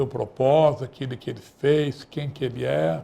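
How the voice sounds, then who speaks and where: This man has a fairly high pitch, a dark, mellow tone with vocal fry, and speaks at a moderate pace. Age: 70s. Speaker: radio talk show host. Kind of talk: closing remarks of political talk show. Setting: studio.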